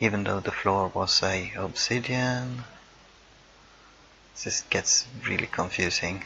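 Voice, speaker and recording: Over noticeable background noise, a man with a non-native accent talks at a very slow pace with long, frequent pauses, his medium pitch carrying ordinary variation. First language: not English. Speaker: gaming YouTuber. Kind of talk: timelapse build commentary. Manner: casual, hesitant with fillers.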